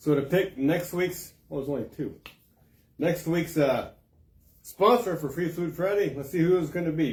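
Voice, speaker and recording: This man speaks at a moderate pace in a high voice for a man. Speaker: community paper host. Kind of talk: live stream giveaway. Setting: live video stream. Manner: casual, halting.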